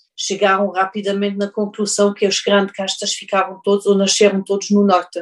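A woman with a German accent, at medium pitch and a moderate pace. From Germany. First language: German (speaking Portuguese). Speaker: winemaker and business owner. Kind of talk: interview. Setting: video call. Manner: halting.

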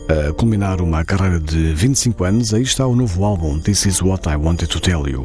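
Over music in the background, a man talks very fast in a very deep, low pitch with lively intonation. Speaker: radio music show host. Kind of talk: radio presenting between songs. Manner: formal.

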